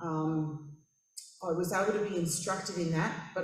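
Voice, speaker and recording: A woman with an Australian accent speaks at a fairly low pitch. Noticeable background noise and audible room echo are present. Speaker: church member. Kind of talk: testimony. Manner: halting, many fillers.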